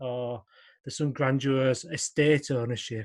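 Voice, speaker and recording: A man with a northern English accent speaks at a moderate pace against a quiet background. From West Yorkshire, Wakefield. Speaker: health informatics director. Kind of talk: interview.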